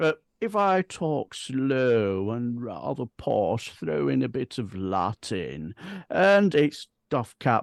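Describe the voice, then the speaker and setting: Against a quiet background, a man speaks very slowly at a medium pitch with very wide pitch swings, in a dry, close sound with no echo. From northern England, Bradford. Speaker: political chat show co-host. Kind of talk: casual political chat.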